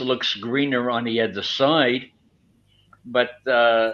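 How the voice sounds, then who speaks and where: A man's medium-pitched, bright and sharp voice with an American accent, ordinary pitch variation and a very slow pace against a quiet background. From New York, Brooklyn. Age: 70s. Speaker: retired airline worker and teacher. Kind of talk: interview.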